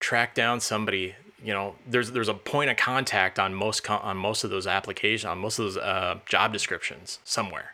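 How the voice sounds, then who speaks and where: Over a very clean recording with a silent background, a man with an American accent talks at a fairly quick pace. His tone is bright and sharp, his pitch fairly low and his intonation fairly even. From US Midwest, central Illinois. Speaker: UX designer and developer. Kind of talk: casual interview conversation.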